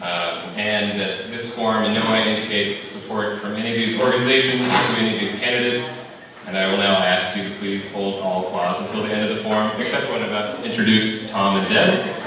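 A man with a fairly low pitch speaks with fairly even intonation and hardly any pauses. Strong room echo and noticeable background noise fill the recording. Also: fairly quick pace. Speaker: event volunteer host. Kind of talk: event announcement. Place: hall.

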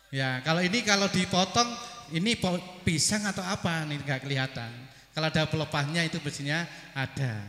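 In a room with audible echo, a man with a fairly high voice talks at a very fast pace with lively intonation. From East Java, Banyuwangi; East Java, Indonesia. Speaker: school principal; preacher. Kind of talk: welcome speech at religious gathering. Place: stage. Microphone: handheld.

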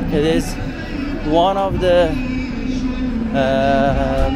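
Clear music plays in the background as a man talks, his voice dry with no echo. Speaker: travel vlogger. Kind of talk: walking tour commentary. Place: street. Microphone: phone near.

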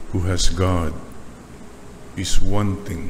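At a very slow pace, a man speaks with fairly even intonation over noticeable background noise. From Philippines. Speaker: preacher. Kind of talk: sermon closing in a fervent, litany-style led prayer. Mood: calm, devout. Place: church. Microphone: podium.

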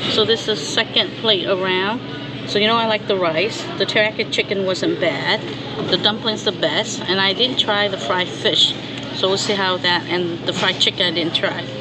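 A woman is speaking at a moderate pace. Noticeable background noise is present. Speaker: food reviewer. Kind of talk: casual food review vlog. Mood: relaxed, evaluative. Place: cafe. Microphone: phone near.

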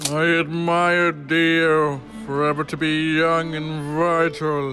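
With clear music in the background, a man puts on a cartoonish character voice at a fairly high pitch. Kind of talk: anime parody dub.

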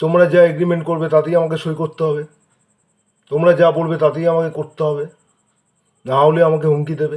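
Monotone and flat, a man speaks at a fairly high pitch. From Kolkata, India. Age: 40s. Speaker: local resident making a public complaint. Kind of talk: personal video appeal. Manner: halting.

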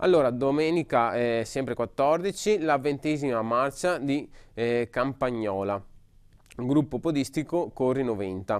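The background is quiet. A man speaks at a very slow pace. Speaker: radio and web TV host. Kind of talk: live broadcast presentation of event news. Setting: studio, live broadcast. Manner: halting, hesitant with repetitions. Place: studio.

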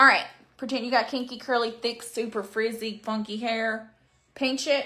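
With an Arkansas accent, a woman speaks at a moderate pace in a bright, sharp tone with ordinary pitch variation. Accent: Southern US (Arkansas). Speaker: beauty livestreamer. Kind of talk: live makeup stream chatting with viewers. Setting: home livestream with ring light. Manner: casual, animated. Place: home room. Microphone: phone near.

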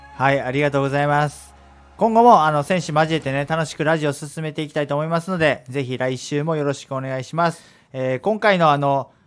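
Faint music plays behind a man who talks at a fairly quick pace in a fairly high pitch with ordinary variation. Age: 30s. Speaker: radio host; radio show host. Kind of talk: casual chat. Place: studio.

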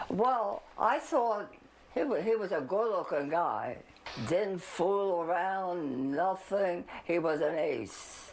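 At a very slow pace, a woman speaks with a Philadelphia accent and very wide pitch swings. Her loudness stays very even over light background noise. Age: 80s+. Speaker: interviewee. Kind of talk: interview; interview answer. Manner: halting. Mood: fond, reminiscing. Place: home room.

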